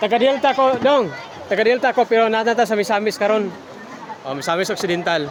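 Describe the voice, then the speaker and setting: A high-pitched man talking at a fairly quick pace, animated in tone with lively intonation, crowd noise in the background. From Lanao del Norte, Mindanao, Philippines. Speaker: travel vlogger. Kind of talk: vlog walkthrough. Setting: outdoors.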